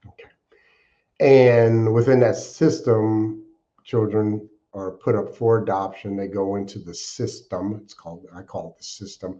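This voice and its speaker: Speaking at a fairly slow pace with an American accent, a man has a fairly low pitch, a dark, mellow tone, fairly even intonation, and big swings in loudness. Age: 60s. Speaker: podcast guest sharing recovery life story. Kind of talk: interview testimony. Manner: reflective, with frequent fillers.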